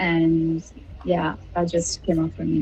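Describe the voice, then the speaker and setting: Music is playing behind the voice. The one talking is a woman. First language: not Arabic. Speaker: study session participant. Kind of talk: casual discussion. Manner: hesitant, many fillers.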